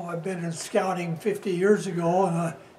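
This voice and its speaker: Over noticeable background noise, a man speaks at a high pitch in a monotone, flat intonation. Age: 80s+. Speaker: Scoutmaster. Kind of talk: instructional demonstration.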